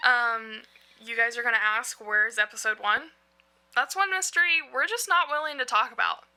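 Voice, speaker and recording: Loud and animated, a woman with a strong Southern US accent speaks at a moderate pace in a high pitch with lively intonation. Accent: thick Southern. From US South, North Carolina. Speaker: podcast co-host. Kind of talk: casual chat. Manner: talkative, animated.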